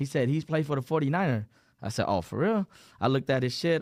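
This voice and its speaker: Against a quiet background, a man talks at a very fast pace. His pitch variation is ordinary. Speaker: hairstylist specializing in dreadlocks. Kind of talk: casual podcast chat. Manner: casual, slangy, halting at times.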